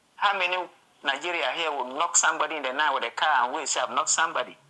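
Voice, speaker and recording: A man talking very fast at a fairly high pitch, over noticeable background noise. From Ghana. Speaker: street interviewee. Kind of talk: vox pop interview.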